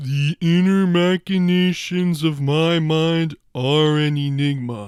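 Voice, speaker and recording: A man puts on a character voice pitched fairly high. He goes at a fairly slow pace with hardly any pauses. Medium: voice reel. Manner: slow, dopey.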